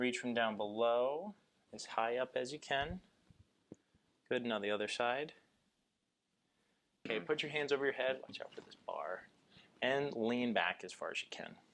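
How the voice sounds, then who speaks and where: Speaking at a moderate pace and a medium pitch, a man leaves long, frequent pauses, with big swings in loudness and ordinary pitch variation. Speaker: chiropractor. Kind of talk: clinical examination talk, instructing patient.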